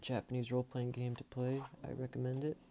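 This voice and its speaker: Soft-spoken and monotone, a man talks at medium pitch and a moderate pace with flat intonation. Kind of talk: casual talk to camera.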